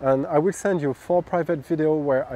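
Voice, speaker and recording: Speaking in a French accent, a man keeps a moderate rate. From France. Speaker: golf coach. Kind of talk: scripted narration; interview. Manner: halting.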